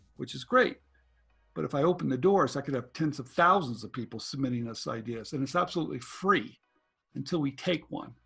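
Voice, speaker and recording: A man talks rather quickly, his intonation lively, while music plays behind him. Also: fairly high pitch for a man. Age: 60s. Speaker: inventor and licensing educator. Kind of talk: interview.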